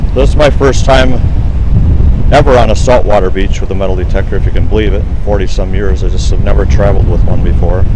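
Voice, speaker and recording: A man talks at a fairly quick pace in a dry sound with no echo, with noticeable background noise behind him. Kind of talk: casual vlog chat. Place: beach. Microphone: phone near.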